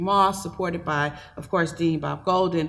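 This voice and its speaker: With an American accent, a woman speaks at a fairly low pitch and a moderate pace in a flat monotone, over noticeable background noise. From Milwaukee, Wisconsin. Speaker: public health program director. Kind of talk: panel talk. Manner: quiet.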